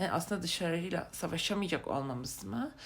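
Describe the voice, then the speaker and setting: At a moderate pace, a woman talks in a fairly low voice with very wide pitch swings. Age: 20s. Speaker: vlogger. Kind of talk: casual monologue. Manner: halting with many fillers.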